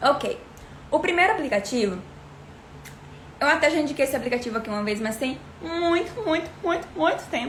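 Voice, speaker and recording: Despite a fairly quick pace, a woman with a high pitch and very wide pitch swings leaves long, frequent pauses amid noticeable background noise and audible room echo. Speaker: English teacher. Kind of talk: livestream tutorial. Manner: fast.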